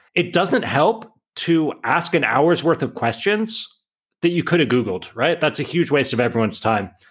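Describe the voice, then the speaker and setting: With vocal fry, the speaker's pitch swings very widely while the loudness stays very even. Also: man, fairly high pitch for a man, moderate pace. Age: 30s. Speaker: entrepreneur and author. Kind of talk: interview.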